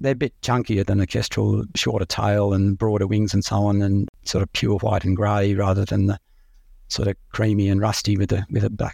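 With an Australian accent, a man speaks at a moderate pace and fairly low pitch in a dark, mellow, somewhat breathy tone, his loudness very even and the sound dry and close with no echo. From Australia, Sydney and rural New South Wales. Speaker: raptor ecologist. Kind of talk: interview. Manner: halting, with many repeats and ums.

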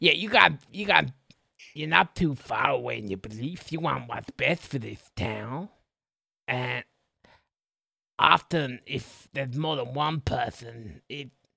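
Put-on character voice, raspy and fairly slow in pace. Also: man. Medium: actual play. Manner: earnest, halting.

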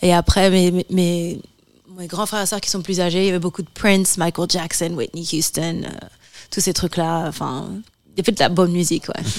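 In a very clean recording with a silent background, a woman talks at a moderate pace. Her pitch is fairly low and her intonation monotone and flat. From France, Martinican family. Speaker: musician. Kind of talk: interview.

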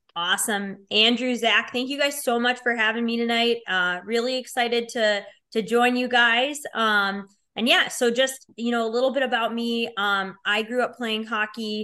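A woman's bright, sharp voice, fairly high in pitch, with a strong Chicago accent, fairly even intonation and a moderate pace against a quiet background. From Chicago, Illinois. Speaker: hockey player advisor and business owner. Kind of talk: casual interview chat.

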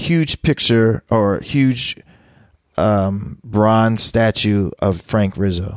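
A man speaks very slowly with a Philadelphia accent, his pitch fairly low and its variation ordinary. The sound is dry and close with no echo, the loudness very even, and the recording very clean over a silent background. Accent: Philadelphia American. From US, Philadelphia. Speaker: DJ, producer and professor. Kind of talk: interview.

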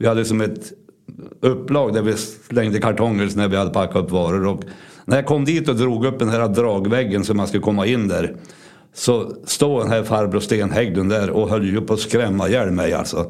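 There is audible room echo as a man speaks at a moderate pace in a fairly low voice with ordinary pitch variation. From Sweden, Örnsköldsvik area (Ångermanland). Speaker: local storyteller recounting childhood memories. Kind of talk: personal anecdote. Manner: casual with hesitations.

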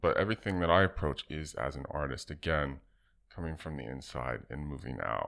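This voice moves at a fairly quick pace with vocal fry and ordinary pitch variation. The recording is very clean, with a silent background. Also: man, very deep, low pitch for a man. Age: 40s. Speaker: artist and designer. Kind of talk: casual interview.

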